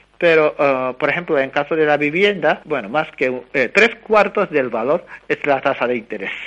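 A man's fairly high voice at a moderate pace, with lively intonation and hardly any pauses. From Japan. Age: 30s. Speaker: economics researcher. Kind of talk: interview. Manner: halting.

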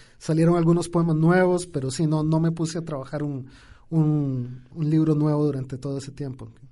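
A man's fairly high voice, dark and mellow in tone, at a moderate pace with flat, monotone intonation and audible room echo. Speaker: poet. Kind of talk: radio interview. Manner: halting, many repetitions.

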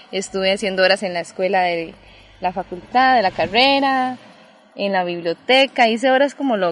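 Using an ordinary speaking voice, a woman talks at a moderate pace with medium pitch and lively intonation. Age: 20s. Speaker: sociologist. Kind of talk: casual interview. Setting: outdoors in a park.

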